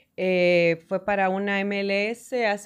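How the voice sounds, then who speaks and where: Against a quiet background, a woman with a Honduran accent speaks in a monotone, flat intonation. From Honduras, Danlí; Honduras. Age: 40s. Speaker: sports broadcaster; podcast guest. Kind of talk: interview. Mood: warm, earnest, encouraging. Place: studio. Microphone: studio mic.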